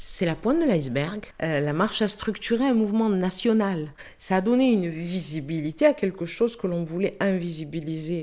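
Her voice an unremarkable speaking voice at medium pitch, a woman talks at a moderate pace with lively intonation. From Marseille, France. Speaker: anti-racism activist. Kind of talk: testimony.

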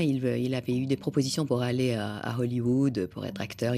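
A woman with a Persian accent, a very deep, low pitch, and a dark, mellow tone. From Iran. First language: Persian (speaking French). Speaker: literature scholar and translator. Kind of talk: radio interview.

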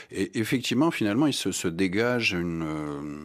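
In a normal speaking voice, a man talks at a moderate pace with lively intonation on a very clean recording with a silent background. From France, Strasbourg (Alsace). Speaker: writer. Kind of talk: radio interview.

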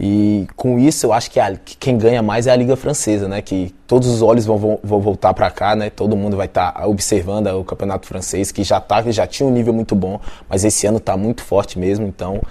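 With a Brasília accent, a man speaks fairly quickly with hardly any pauses, in a fairly low pitch and dark, mellow tone with fairly even intonation. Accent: Brazilian Portuguese (Brasília). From Brasília, Brazil. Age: 20s. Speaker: professional volleyball player. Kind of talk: interview.

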